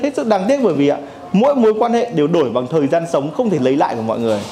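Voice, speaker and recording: A man speaks very fast in a high pitch with very wide pitch swings. Audible room echo and noticeable background noise come through. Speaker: workshop instructor. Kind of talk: lecture. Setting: classroom with live audience.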